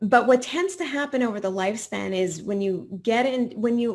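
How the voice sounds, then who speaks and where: The speaker has a Canadian accent and a normal speaking voice, with ordinary pitch variation. The pace is moderate, in a very clean recording with a silent background. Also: woman. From Quebec, Montreal. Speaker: professor and retirement researcher. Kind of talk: podcast interview.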